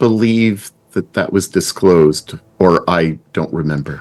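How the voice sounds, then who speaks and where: Booming at a very deep, low pitch, a man speaks at a very slow pace with lively intonation. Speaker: roleplaying game player. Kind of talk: tabletop roleplaying session. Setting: live stream video call. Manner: loud.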